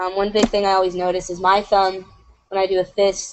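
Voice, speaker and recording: At a fairly quick pace, a woman speaks with a medium pitch. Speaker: animator. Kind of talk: tutorial. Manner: casual, lots of fillers; fast.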